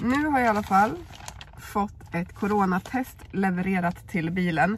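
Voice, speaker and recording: A woman talks here. There is a somewhat breathy sound to her voice. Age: 30s. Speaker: YouTuber. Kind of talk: vlog. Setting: in a car.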